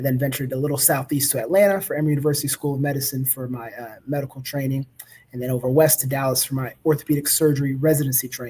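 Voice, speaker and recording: At a very fast pace, a man with an American accent speaks in a fairly high pitch, somewhat breathy, with a dark, mellow tone and fairly even intonation. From US South, Baton Rouge, Louisiana. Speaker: orthopedic surgeon. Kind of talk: educational talk. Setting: live online presentation. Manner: conversational, with fillers.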